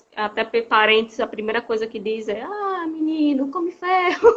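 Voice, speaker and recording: A woman speaks with a northeastern Brazilian accent. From Brazil, Rio Grande do Norte (Northeast). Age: 30s. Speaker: nutritionist and patient association president. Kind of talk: interview. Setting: video call.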